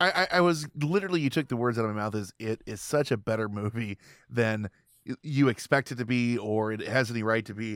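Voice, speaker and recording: A man talks at a fairly quick pace in a normal speaking voice. His pitch is medium, with ordinary pitch variation. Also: dry, close sound with no echo, very clean recording, silent background. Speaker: podcast host and judge. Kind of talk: casual chat.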